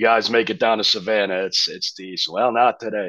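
Moderate-paced speech from a man with an American accent, dry with no echo, over a quiet background. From New Jersey, US. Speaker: rock band frontman; guest. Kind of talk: casual interview. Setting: remote call. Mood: relaxed, enthusiastic. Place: studio. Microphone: video call.

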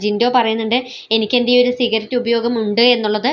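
With a fairly high pitch, a woman speaks in a plain, everyday voice. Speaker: YouTube vlogger, reality show commentator. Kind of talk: vlog commentary.

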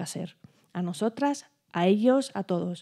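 In a non-native accent, a woman speaks with a dark, mellow tone over a quiet background. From Europe, not Spain. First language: not Spanish (speaking Spanish). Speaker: performing arts professional, panelist; panelist. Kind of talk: round-table discussion. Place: stage. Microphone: handheld.

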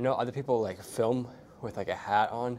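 The speech moves at a very fast pace over light background noise. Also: man. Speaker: fitness vlogger. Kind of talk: casual vlog chat. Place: gym. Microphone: lapel.

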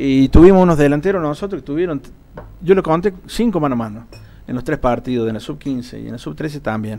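A man's fairly high voice with a dark, mellow tone, lively intonation and a fairly quick pace. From Córdoba, Argentina. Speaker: local football league official; guest. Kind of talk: interview on live TV. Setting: TV studio. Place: studio. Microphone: studio mic.

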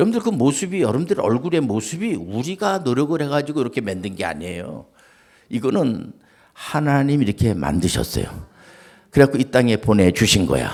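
A man talks fairly quickly at a medium pitch. His voice has vocal fry and very wide pitch swings. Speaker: pastor. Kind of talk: sermon. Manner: conversational.

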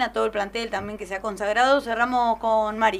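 Flat and monotone, a woman speaks at a very fast pace. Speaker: sports radio host. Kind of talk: radio interview. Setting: studio. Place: studio.

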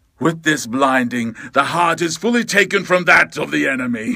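Putting on a character voice, a man speaks at a fairly high pitch and a moderate pace with very wide pitch swings. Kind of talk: theatrical character voiceover.

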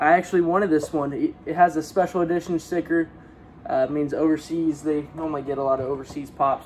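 The intonation stays fairly even, with light background noise behind it. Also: man. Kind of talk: casual unboxing vlog chat. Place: home room. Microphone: phone near.

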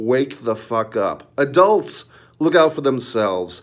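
A man with very wide pitch swings over a quiet background. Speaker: wrestling commentary YouTuber. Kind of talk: angry profanity-laced wrestling rant. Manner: scornful, sneering and profane, mocking the wrestler with crude jabs; heated and repetitive, with rhetorical questions and filler hesitations. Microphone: phone near.

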